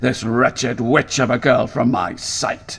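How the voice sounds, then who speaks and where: A man's growling, put-on character voice at a medium pitch, fairly slow and fairly even in intonation. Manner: spat out hastily, angry and contemptuous.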